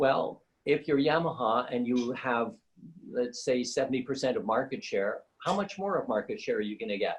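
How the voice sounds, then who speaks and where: Lively intonation marks this man's speech. He has a medium pitch and a moderate pace. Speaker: piano maker and workshop owner. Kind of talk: interview conversation. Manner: loud; halting, many fillers.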